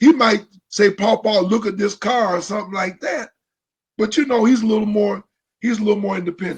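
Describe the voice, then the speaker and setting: A man with an American accent speaks in a high pitch. His pace is fairly quick and his intonation fairly even. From Ohio. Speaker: pastor. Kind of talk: casual chat. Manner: repetitive, halting.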